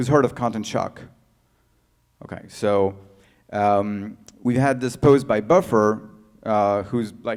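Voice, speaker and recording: In a French accent, a man speaks fairly slowly at a fairly low pitch with fairly even intonation. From France. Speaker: tech founder and CEO. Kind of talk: conference talk. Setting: stage with audience. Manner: halting, many fillers.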